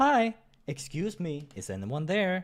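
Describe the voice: A put-on character voice at a slow pace, full of very wide pitch swings. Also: man, high pitch for a man.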